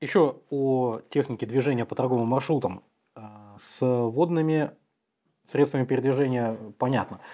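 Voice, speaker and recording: Against a quiet background, a man speaks at a fairly slow pace with a dark, mellow tone and ordinary pitch variation. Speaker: history channel host. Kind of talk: interview. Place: studio.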